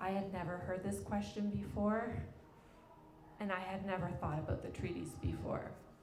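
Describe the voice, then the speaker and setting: A woman speaks with fairly even intonation and long, frequent pauses. Room echo is audible, along with noticeable background noise. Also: medium pitch for a woman, moderate pace. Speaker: arts consultant and facilitator. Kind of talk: presentation talk. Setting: event with live audience.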